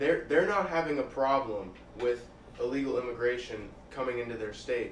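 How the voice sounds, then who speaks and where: Someone with an American accent talks at a fairly quick pace with ordinary pitch variation, amid noticeable background noise and audible room echo. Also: man. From Bethlehem, Pennsylvania. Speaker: college student. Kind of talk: casual chat.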